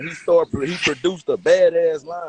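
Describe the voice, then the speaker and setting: A man speaks with an American accent at a moderate pace. The sound is dry and close, with no echo. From Texas. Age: 30s. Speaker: podcast host, dog breeder. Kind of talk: casual chat. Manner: animated.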